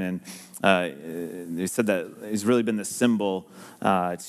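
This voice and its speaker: The background is quiet as a man talks at a moderate pace. His pitch varies in an ordinary way. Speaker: pastor. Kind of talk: ceremony address to congregation. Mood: warm, joking. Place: church. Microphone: headset.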